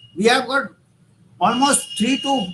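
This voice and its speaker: With an Indian accent, a man uses a raised, projected voice and ordinary pitch variation over noticeable background noise. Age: 60s. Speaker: doctor / public health expert. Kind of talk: conference talk. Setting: virtual summit. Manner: halting.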